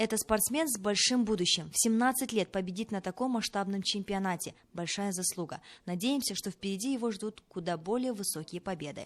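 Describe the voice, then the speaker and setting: An ordinary speaking voice: a woman at a medium pitch, fairly quick pace and ordinary pitch variation, against a quiet background. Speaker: TV news presenter. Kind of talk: TV news report voiceover.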